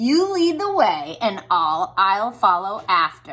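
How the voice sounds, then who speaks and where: Putting on a character voice, a woman speaks at a fairly slow pace and fairly high pitch with very wide pitch swings. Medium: read story.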